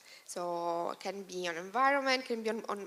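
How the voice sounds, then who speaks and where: A woman speaks at medium pitch. Her intonation is lively. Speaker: researcher on social innovation projects. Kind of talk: conference panel talk. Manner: fast; halting, many fillers.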